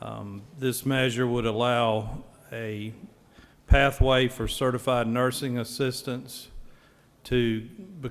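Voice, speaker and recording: A man with a Southern US accent speaks at a very slow pace and medium pitch, his intonation monotone and flat, with long, frequent pauses. His loudness swings widely. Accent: Southern drawl. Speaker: state senator. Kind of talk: legislative floor speech. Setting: legislative chamber.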